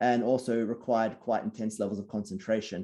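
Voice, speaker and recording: Against a quiet background, a man with an Australian accent speaks at a medium pitch in a dark, mellow tone. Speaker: sleep researcher. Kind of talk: Q&A at online talk.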